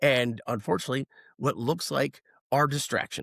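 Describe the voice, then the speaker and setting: A man's animated tone, with a dry, close sound and no echo. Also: very clean recording, silent background. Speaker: podcast host. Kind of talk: casual political discussion. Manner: loud.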